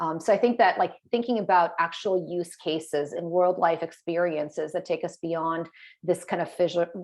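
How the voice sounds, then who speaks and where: Her slight non-native accent comes through as the woman speaks at a moderate pace with fairly even intonation. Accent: barely noticeable non-native. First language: not English. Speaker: digital policy advisor. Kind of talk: panel discussion.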